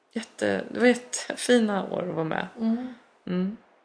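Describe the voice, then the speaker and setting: A woman at a fairly slow pace. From Belgium (Brussels) and Sweden. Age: 40s. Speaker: musical theatre singer and actress. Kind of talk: casual interview chat. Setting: studio sofa with balcony door open.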